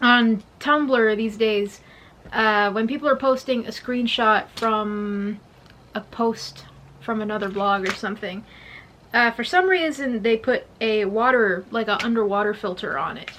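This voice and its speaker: Quiet and fairly slow, a woman speaks in a bright, sharp tone with ordinary pitch variation. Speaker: music vlogger. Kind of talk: casual vlog monologue. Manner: hesitant, many fillers; trying to speak quietly.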